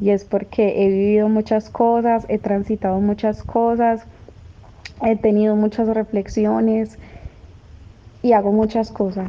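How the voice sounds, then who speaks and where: At a fairly slow pace, a woman talks in a monotone, flat intonation at a medium pitch. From Colombia. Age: 20s. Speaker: feminist activist. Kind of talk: personal testimony.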